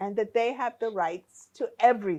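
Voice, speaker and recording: In an American accent, a woman speaks at a fairly high pitch. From US, New York (Bronx). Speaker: diaspora returnee. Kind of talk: interview conversation.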